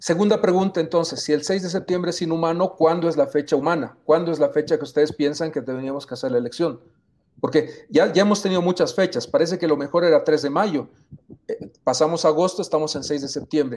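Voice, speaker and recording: In a plain, everyday voice, the speaker talks at a fairly quick pace with ordinary pitch variation. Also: man. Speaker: co-host. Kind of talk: political debate.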